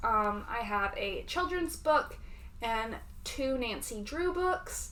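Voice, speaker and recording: With audible room echo around her, a woman speaks at a very slow pace in a Southern US accent. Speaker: booktuber. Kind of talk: casual reading vlog.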